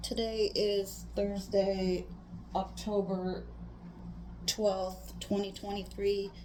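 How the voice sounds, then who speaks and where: Audible room echo surrounds a woman's voice. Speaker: family interviewer, daughter. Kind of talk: family life interview.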